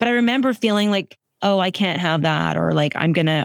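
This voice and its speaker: Vocal fry runs through this voice as the words come out at a very fast pace. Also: woman. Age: 40s. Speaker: founder and CEO of an anti-chafing apparel brand. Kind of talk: casual chat.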